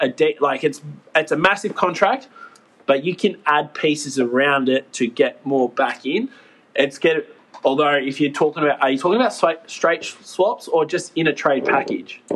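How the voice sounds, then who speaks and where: Speaking with an Australian accent, a man has a fairly high pitch and a moderate pace. His loudness stays very even. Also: ordinary pitch variation. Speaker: sports podcast co-host. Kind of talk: casual chat.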